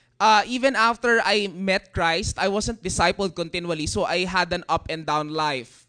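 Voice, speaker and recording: A man talks with a high pitch and a bright, sharp tone at a moderate pace. His pitch varies in an ordinary way, and the background is quiet. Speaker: youth leader. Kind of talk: testimony.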